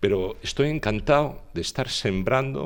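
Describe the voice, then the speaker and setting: With an ordinary speaking voice, a man talks at a fairly slow pace using lively intonation. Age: 60s. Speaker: politician. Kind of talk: interview.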